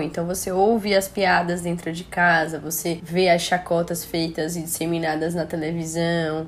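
Speaking at a fairly slow pace, a woman with a Brazilian accent has a fairly low pitch. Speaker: medical doctor. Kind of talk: interview.

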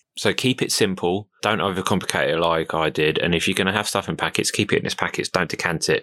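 A man with a southern English accent speaks in a very deep, low pitch, with a bright, sharp tone and flat, monotone intonation. The sound is dry and close, with no echo. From southern England, Crawley in West Sussex. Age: 30s. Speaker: ocean rower. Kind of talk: casual interview.

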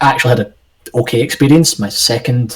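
A man with a Scottish accent speaks in a somewhat breathy voice with ordinary pitch variation. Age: 20s. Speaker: podcast co-host. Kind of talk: casual chat.

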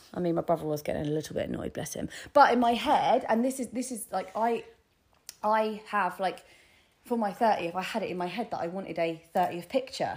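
With an English accent, a woman speaks at a fairly quick pace and a fairly high pitch, in an animated tone with lively intonation. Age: 30s. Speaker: podcast co-host. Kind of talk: casual chat.

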